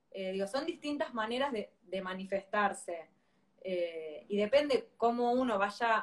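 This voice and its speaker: A woman with a Rioplatense accent speaks at a fairly slow pace in a fairly high voice with ordinary pitch variation. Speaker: parenting educator. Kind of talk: live-stream interview.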